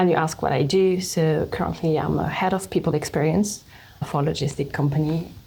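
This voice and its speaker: A woman's fairly low voice with fairly even intonation at a moderate pace. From France. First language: French. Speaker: HR leader. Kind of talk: interview.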